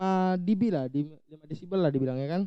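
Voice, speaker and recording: This man's voice is high-pitched and shrill yet dark and mellow in tone, with ordinary pitch variation. The sound is dry and close, with no echo. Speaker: YouTuber, audio gear tutorial maker. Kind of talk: tutorial. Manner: casual, conversational.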